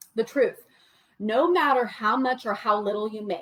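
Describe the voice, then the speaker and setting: A moderate tempo, ordinary variation in pitch, and an unremarkable speaking voice. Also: woman. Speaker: money coach. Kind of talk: livestream presentation.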